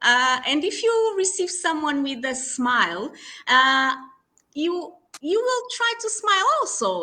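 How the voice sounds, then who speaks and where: A woman with a Portuguese accent uses a raised, projected voice, high in pitch and full of very wide pitch swings. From Portugal. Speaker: HR consultant. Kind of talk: podcast interview. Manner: halting, many fillers.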